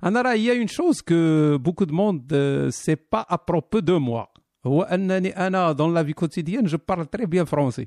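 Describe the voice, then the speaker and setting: The sound is dry and close, with no echo and very even loudness. A man with a high pitch speaks at a fairly quick pace with lively intonation. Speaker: live stream host. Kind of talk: casual banter, live stream chat. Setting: live stream with audience.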